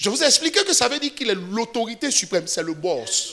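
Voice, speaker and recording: A man talks in a raised, projected voice at an extremely high pitch, swinging very widely in pitch at a fairly quick pace. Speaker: pastor. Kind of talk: sermon. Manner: fast.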